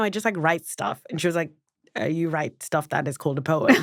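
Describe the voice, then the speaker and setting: A woman talks at a very fast pace in an animated tone, with very wide pitch swings. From southern Africa. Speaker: poet. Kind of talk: interview conversation.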